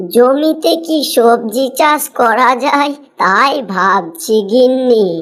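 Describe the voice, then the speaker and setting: A woman's cartoonish character voice, high in pitch, very slow in pace, with lively intonation. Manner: homely, warm.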